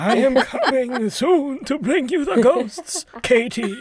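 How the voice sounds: A put-on character voice speaks with a fairly high pitch at a fairly slow pace.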